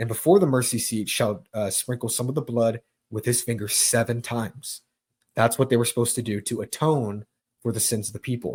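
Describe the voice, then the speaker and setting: Recorded very cleanly against a silent background, a man with a medium pitch and a somewhat breathy voice speaks at a fairly quick pace with fairly even intonation. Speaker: Bible teacher, online preacher. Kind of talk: Bible teaching livestream. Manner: fast.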